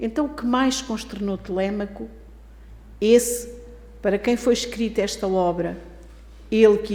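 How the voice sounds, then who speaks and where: A woman with a European Portuguese accent speaks at a medium pitch with fairly even intonation, and audible room echo surrounds her voice. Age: 70s. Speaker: spiritist lecturer. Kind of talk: lecture.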